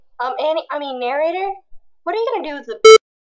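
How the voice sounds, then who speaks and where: A woman uses a squeaky, put-on character voice pitched high, with very wide pitch swings. She talks very fast, and her loudness swings widely. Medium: audio drama. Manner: deadpan.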